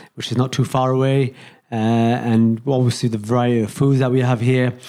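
This man speaks fairly quickly in a Yorkshire accent, his medium-pitched voice dark and mellow in tone, with monotone, flat intonation. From Leeds, Yorkshire. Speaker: round-the-world cyclist. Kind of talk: casual interview. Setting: sitting on the floor at his home.

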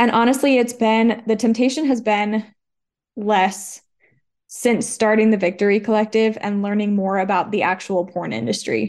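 In a normal speaking voice, a woman with a fairly high pitch speaks at a moderate pace with fairly even intonation against a quiet background. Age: 20s. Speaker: women's recovery ministry co-founder. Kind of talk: testimony. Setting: studio.

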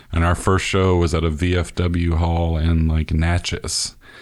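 A man with a Mississippi accent speaks at a very deep, low pitch. The recording is very clean, with a silent background. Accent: US Southern (Mississippi). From northern Mississippi. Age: 40s. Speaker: podcast host and musician. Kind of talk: casual interview conversation.

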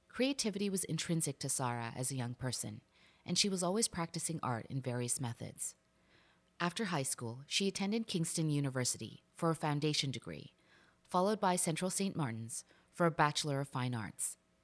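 In a very clean recording with a silent background, a woman with a very deep, low voice talks fairly quickly in a calm tone with lively intonation. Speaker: podcast host. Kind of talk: casual interview chat.

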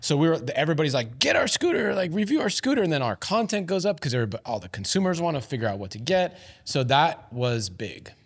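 Over noticeable background noise, a man talks with hardly any pauses and very wide pitch swings. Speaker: founder of a scooter review channel. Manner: casual, laughing.

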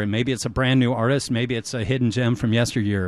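Here is a plain, everyday voice from a man at medium pitch with ordinary pitch variation. The recording is very clean, with a silent background. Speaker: community radio DJ. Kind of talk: casual chat and fundraising appeal. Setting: radio studio. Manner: relaxed, rambling with filler words.

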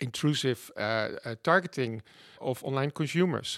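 A man speaking at a fairly slow pace. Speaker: digital head, guest. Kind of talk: interview. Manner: hesitant, filler words.

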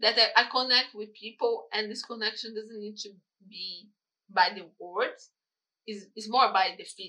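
A woman with a Brazilian accent talks at a moderate pace in a fairly high, bright, sharp voice with fairly even intonation. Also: big swings in loudness. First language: Portuguese. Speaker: photographer and videographer. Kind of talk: casual interview. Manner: halting.

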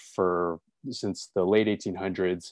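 A man with an American accent talks at a fairly quick pace, his voice dry and close with no echo over a quiet background. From Los Angeles, US. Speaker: nonprofit operations specialist and author. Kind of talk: interview and software tutorial.

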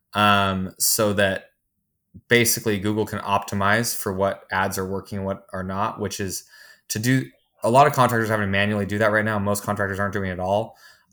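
A man with a normal speaking voice talks at a fairly quick pace, fairly low in pitch with fairly even intonation. The recording is very clean with a silent background. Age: 30s. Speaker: software executive and contractor business owner. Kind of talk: casual interview.

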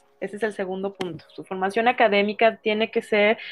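A woman speaks in a fairly high voice. Music plays in the background. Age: 40s. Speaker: psychotherapist. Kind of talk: interview.

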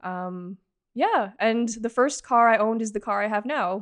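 Here is a woman with a normal speaking voice, medium in pitch, with fairly even intonation. The background is quiet and the sound dry and close with no echo. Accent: Canadian. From Canada, Toronto area (Markham). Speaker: automotive journalist and editor. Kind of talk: casual interview chat.

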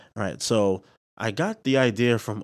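In a plain, everyday voice, a man with an American accent speaks at a moderate pace and medium pitch with ordinary pitch variation, on a very clean recording with a silent background. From Bronx, New York City. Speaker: entrepreneur podcast host. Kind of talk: podcast trailer monologue. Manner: casual, conversational with filler words.

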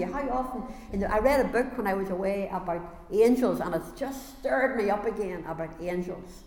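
Against noticeable background noise, a woman speaks at a moderate pace and a medium pitch with lively intonation. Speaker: preacher. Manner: fervent, exhorting.

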